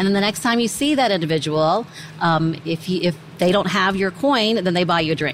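With noticeable background noise behind her, a woman with an American accent talks at a fairly quick pace. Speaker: lawyer and bar association chair. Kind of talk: casual interview. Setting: convention center on location.

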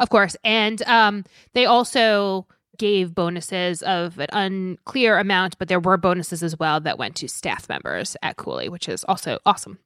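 Speaking at a moderate pace with ordinary pitch variation, a woman uses a normal speaking voice on a very clean recording with a silent background. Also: medium pitch for a woman. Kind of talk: casual banter about legal news. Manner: teasing, dry humor.

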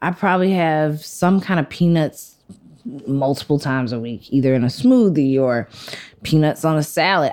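A woman speaks with a Southern US accent. Her very deep, low voice has lively intonation. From US South. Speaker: food writer. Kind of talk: interview. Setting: in a shop.

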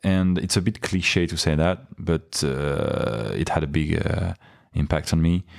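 The speaker uses a French accent, a fairly slow pace, and ordinary pitch variation. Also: man, very deep, low pitch for a man. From France (Paris). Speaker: freediver. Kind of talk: interview. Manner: hesitant, many fillers.

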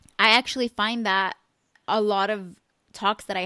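Her tone is bright and sharp, and the woman's intonation is monotone and flat. The sound is dry and close, with no echo. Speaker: podcast host. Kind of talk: casual chat. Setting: remote call.

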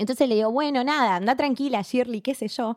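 In an Argentine accent, a woman talks in a high voice. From Argentina. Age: 30s. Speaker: public relations graduate. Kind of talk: casual interview chat. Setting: host's room. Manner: fast.

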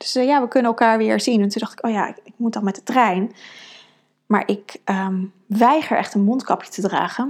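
Her voice sits fairly high, its pitch varying in an ordinary way as this woman talks at a moderate pace. The background is silent on a very clean recording. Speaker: podcast host and women's coach. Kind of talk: solo podcast monologue. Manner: many fillers and hesitations.

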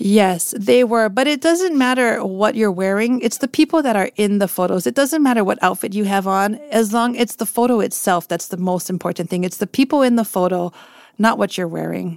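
A woman with an ordinary speaking voice talks at a medium pitch and a fairly quick pace, with hardly any pauses. Her intonation is lively, and the sound is dry and close with no echo. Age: 40s. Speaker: portrait photographer. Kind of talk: interview.

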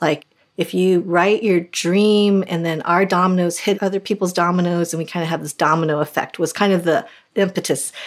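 A woman with a plain, everyday voice, fairly low in pitch, at a fairly quick pace with fairly even intonation, on a very clean recording with a silent background. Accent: American. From Boulder, Colorado, US. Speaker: author and Bible teacher. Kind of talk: interview, personal testimony.

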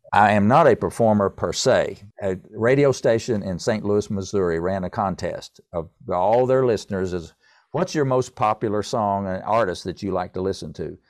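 A man's unremarkable speaking voice, fairly low in pitch with ordinary variation, at a moderate pace over a quiet background. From US South. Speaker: composer. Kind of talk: interview.

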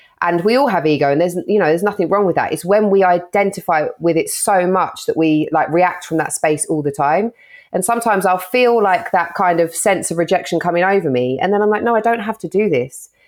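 Noticeable background noise surrounds a woman talking at a fairly quick pace with hardly any pauses. Her loudness stays very even, and her pitch varies in an ordinary way. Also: medium pitch for a woman. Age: 30s. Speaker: content creator and show presenter. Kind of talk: casual chat. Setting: video call.

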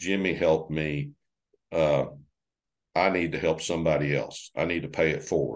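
With an American accent and vocal fry, a man speaks at a very deep, low pitch and a moderate pace, his pitch varying in an ordinary way amid long, frequent pauses. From northwest Oklahoma. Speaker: farmer and agricultural conservation executive. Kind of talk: interview conversation.

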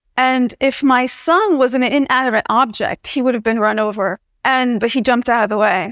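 A woman's high voice with an American accent and fairly even intonation, dry and close with no echo. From US Northeast (New Jersey). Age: 30s. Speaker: political science professor. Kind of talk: interview.

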